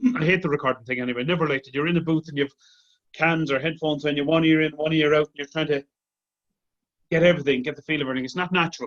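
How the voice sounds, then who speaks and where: In an Irish accent, a man with a fairly high pitch speaks at a very fast pace and with fairly even intonation, his loudness swinging widely in a dry, close sound with no echo. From Ireland. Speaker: tenor singer. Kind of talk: casual interview chat.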